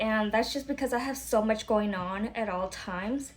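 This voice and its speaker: A somewhat breathy woman with an American accent, fairly high pitch, ordinary pitch variation and a moderate pace. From Florida, US. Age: 30s. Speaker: vlogger and small business owner, military veteran. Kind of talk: casual vlog introduction. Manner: casual, conversational with fillers.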